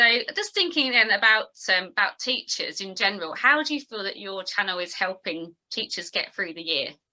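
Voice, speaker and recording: A woman with a British accent talks at a moderate pace, her pitch in the medium range. Her tone is bright and sharp, her intonation lively, and her loudness rises and falls sharply. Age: 40s. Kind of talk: casual interview.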